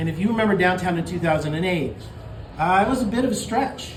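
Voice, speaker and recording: A loud man speaks high in pitch, with very wide pitch swings. Noticeable background noise and audible room echo fill the recording. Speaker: mayoral candidate. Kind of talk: campaign speech. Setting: campaign kickoff event with live audience. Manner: loud, projecting to the room; halting, repeats words.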